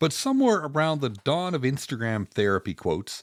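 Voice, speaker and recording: At a moderate pace, the voice moves through very wide pitch swings, captured in a very clean recording with a silent background and a dry, close sound free of echo. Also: man. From Canada, West Coast. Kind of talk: podcast monologue, lighthearted observational commentary. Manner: wry, humorous.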